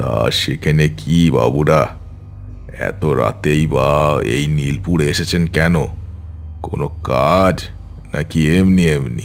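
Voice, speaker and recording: A man's cartoonish character voice, very slow, with clear music in the background. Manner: sly, chuckling.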